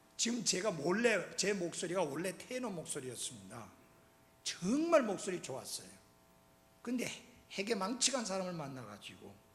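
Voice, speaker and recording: Moderately paced and high-pitched, a man's voice comes through with audible room echo. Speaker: pastor. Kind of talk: sermon. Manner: animated.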